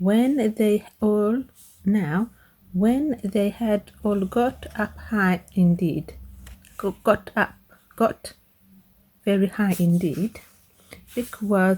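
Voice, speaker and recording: A somewhat breathy voice with a dark, mellow tone moves at a very slow pace, with long, frequent pauses. Its pitch varies in an ordinary way, and its loudness stays very even. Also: woman, medium pitch for a woman. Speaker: ASMR reader, dyslexic reader. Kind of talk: ASMR storybook reading. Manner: whispered, relaxing.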